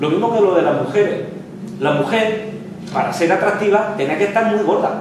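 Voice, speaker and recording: Amid noticeable background noise and strong room echo, the speaker keeps a moderate pace with ordinary pitch variation. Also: man, high pitch for a man. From Lorca, Murcia, Spain. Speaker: history professor. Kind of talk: lecture. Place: classroom. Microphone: camera far.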